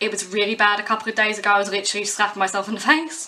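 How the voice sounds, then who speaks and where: Noticeable background noise sits behind this clip. A woman of medium pitch talks at a very fast pace with a British accent. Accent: English (UK). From southern England, West Sussex. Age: 20s. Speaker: musician and pub worker. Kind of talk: casual vlog monologue.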